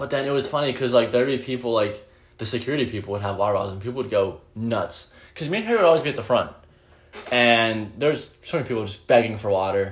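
An animated man speaks at a very fast pace. His pitch is medium, with ordinary pitch variation. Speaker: podcast co-host. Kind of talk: casual chat. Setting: bedroom. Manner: animated, profane banter.

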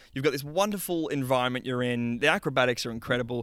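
Fairly quick speech with lively intonation on a very clean recording with a silent background. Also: man. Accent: Australian. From Western Australia. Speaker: sound technician. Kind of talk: interview. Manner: halting.

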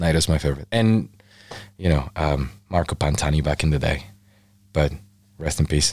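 A man with a Spanish accent speaks at a moderate pace, his pitch very deep and low. His loudness stays very even, with ordinary pitch variation and long, frequent pauses. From Mexico, Baja California. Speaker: photographer. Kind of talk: casual interview chat. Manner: animated.

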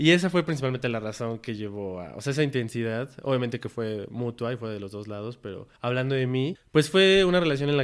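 Here is a man with a plain, everyday voice. He speaks at a medium pitch and a fairly quick pace. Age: 20s. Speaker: logistics worker. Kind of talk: casual chat.

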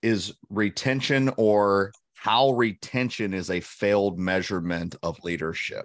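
Against a quiet background, a man talks at a fairly slow pace with ordinary pitch variation in an ordinary speaking voice. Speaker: leadership coach. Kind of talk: casual chat. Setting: video call.

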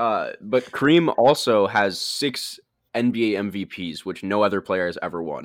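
Over a silent background in a very clean recording, a man talks at a fairly slow pace and a fairly low pitch. He has an ordinary speaking voice with lively intonation. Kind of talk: heated debate. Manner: insistent, interrupting, pleading to be heard.

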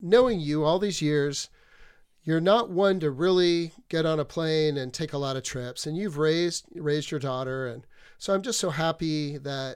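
The speech moves at a moderate pace with ordinary pitch variation on a very clean recording with a silent background. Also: man. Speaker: radio host and elementary school teacher. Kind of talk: casual chat and interview. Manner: animated.

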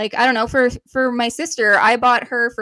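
This woman has an unremarkable speaking voice, fairly high in pitch, with a Canadian accent. She talks at a moderate pace. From Canada. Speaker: podcast co-host. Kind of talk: casual chat.

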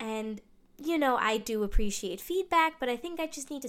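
A woman's high voice with lively intonation, at a moderate pace. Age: 20s. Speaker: podcaster. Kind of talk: personal monologue. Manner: talkative.

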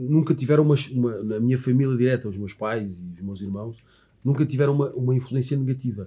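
At a very fast pace, a man speaks somewhat breathily at a medium pitch with a dark, mellow tone, ordinary pitch variation and big swings in loudness. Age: 40s. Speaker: former footballer, sports commentator. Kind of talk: casual interview.

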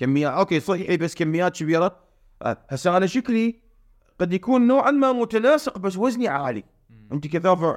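A man at a moderate pace, his pitch swinging very widely, in a dry, close sound with no echo on a very clean recording with a silent background. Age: 40s. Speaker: fitness coach and nutrition expert. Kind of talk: casual chat.

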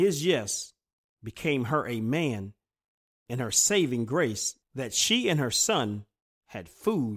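A man speaks at a medium pitch and a very slow pace, with very wide pitch swings. The recording is very clean, with a silent background. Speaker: preacher. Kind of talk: sermon; fervent prayer. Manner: earnest, reverent prayer tone; formal.

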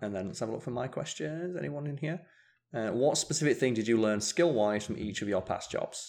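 Against a quiet background, a man with a British accent talks at a fairly quick pace, his pitch swinging very widely. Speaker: gaming podcaster and streamer. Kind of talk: casual chat. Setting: home living room, live stream, slightly echoey. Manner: calm, quieter on podcasts.

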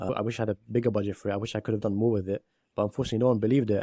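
In a British accent, a man with a fairly low, dark, mellow voice talks at a very fast pace in a flat monotone, the sound dry and close with no echo. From UK. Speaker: poet and filmmaker. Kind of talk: interview conversation.

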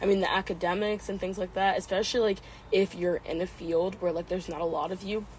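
Somewhat breathy, a woman with an American accent talks at a very fast pace. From US, out of state suburbs. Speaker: pre-med college student. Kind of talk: casual interview chat. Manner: filler-heavy, hesitant.

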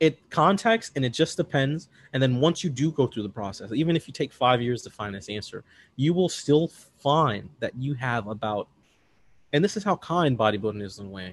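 A man talks in an animated tone with very wide pitch swings. His loudness swings a lot too. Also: medium pitch for a man, moderate pace. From Chicago, US Midwest. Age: 30s. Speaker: bodybuilding and powerlifting coach. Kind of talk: casual interview.

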